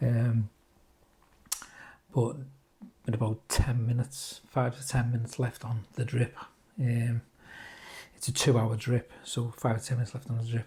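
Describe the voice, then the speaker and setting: In a Liverpool accent, a man with a medium pitch and a dark, mellow, somewhat breathy tone speaks at a moderate pace with monotone, flat intonation. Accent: Scouse (Liverpool). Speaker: cancer patient vlogger. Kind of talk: personal vlog update. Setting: just after chemo session. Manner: halting, many fillers.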